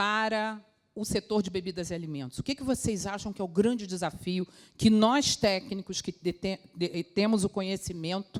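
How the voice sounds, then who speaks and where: A woman talks in a normal speaking voice at medium pitch and a moderate pace, with ordinary pitch variation. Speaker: food safety quality manager. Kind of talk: conference talk.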